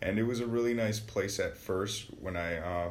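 With audible room echo, a man in an American accent speaks at a moderate pace with ordinary pitch variation. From Wisconsin, Milwaukee south side. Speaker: university student. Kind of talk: casual interview.

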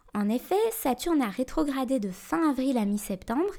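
A woman speaks in a calm, dark, mellow tone. Her pitch is high and her intonation lively. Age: 30s. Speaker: astrology podcast host. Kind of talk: scripted narration. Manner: calm, intimate.

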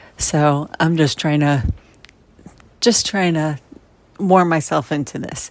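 A woman talks at a very slow pace, with long, frequent pauses. Her pitch is very deep and low. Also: ordinary pitch variation. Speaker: listener. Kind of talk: recorded voice message. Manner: clear.

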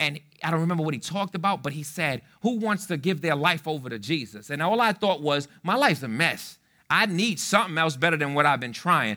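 Bright and sharp, a man's fairly high voice moves at a fairly quick pace with lively intonation. The recording is very clean, with a silent background. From New York City, South Bronx. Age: 30s. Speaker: pastor. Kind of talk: sermon.

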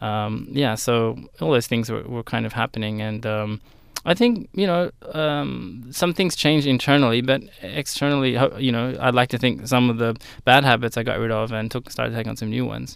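This man has an Australian accent and a medium pitch, speaking at a moderate pace with ordinary pitch variation in a very clean recording against a silent background. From Australia, southern Sydney. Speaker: graphic designer and studio founder. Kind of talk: interview. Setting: radio studio. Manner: hesitant, many fillers.

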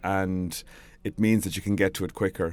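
A man with a Galway accent, fairly low pitch and a fairly quick pace, in a very clean recording with a silent background. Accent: Galway Irish. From Ireland, Galway. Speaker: PR trainer and blogger. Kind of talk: solo audio blog tutorial.

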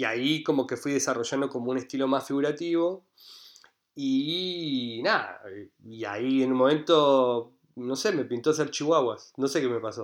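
In a Rioplatense accent, a man talks at a moderate pace with medium pitch and ordinary pitch variation. The background is quiet. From Argentina, Buenos Aires. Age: 30s. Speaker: painter and street artist. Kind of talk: casual interview. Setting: remote call.

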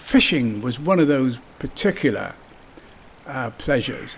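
Speaking at a very slow pace, a man with a West Country accent uses a fairly high pitch and ordinary pitch variation. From southwest England, Somerset (Yeovil). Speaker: local resident reminiscing. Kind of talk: personal reminiscence.

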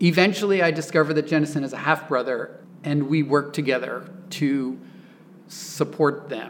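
A man with an American accent talks at a moderate pace over noticeable background noise. His pitch sits fairly high, and his intonation stays fairly even. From Oklahoma. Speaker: architect and author. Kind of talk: interview.

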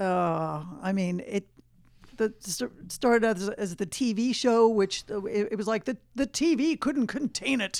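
An ordinary speaking voice from a woman, fairly high in pitch and fairly slow in pace. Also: ordinary pitch variation. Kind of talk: radio co-host chatter, short quips and agreeable replies.

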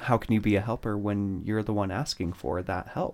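In a plain, everyday voice, a man speaks at a moderate pace and a fairly low pitch, on a very clean recording with a silent background. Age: 30s. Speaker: podcast co-host. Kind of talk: casual chat.

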